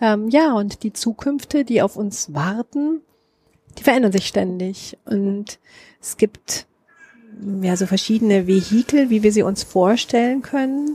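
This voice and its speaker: A woman's fairly high voice with lively intonation, fairly slow and marked by long, frequent pauses, in a dry, close sound with no echo. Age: 40s. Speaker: author, journalist and musician. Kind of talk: casual interview. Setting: outdoors on a balcony.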